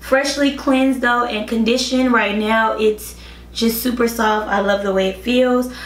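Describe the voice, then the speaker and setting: Amid noticeable background noise and audible room echo, a woman talks at a moderate pace with fairly even intonation. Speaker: beauty vlogger. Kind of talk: tutorial. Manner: casual, chatty.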